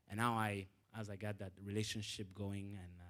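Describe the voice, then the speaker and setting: A man is speaking. His voice sits fairly low. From Rwanda. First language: French. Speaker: alumni panelist, business development professional. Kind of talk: panel talk to students. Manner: halting, many fillers.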